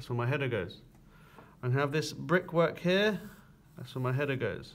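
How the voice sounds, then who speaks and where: Through audible room echo, a man with vocal fry and a fairly high pitch speaks at a moderate pace with lively intonation. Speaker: construction drawing teacher. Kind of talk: tutorial.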